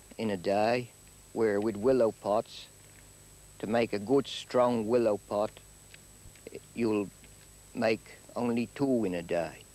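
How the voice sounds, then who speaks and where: A medium-pitched man's voice, very slow in pace, fairly even in intonation, and dry and close with no echo. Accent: Guernsey. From Guernsey. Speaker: fisherman. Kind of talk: interview answer.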